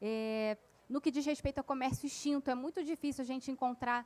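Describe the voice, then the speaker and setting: A woman speaks with a high pitch. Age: young. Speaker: author and local historian. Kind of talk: panel discussion. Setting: stage at literary festival with audience.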